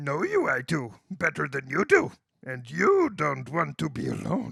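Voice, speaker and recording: A man puts on a croaky character voice. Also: moderate pace. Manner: slow, wise.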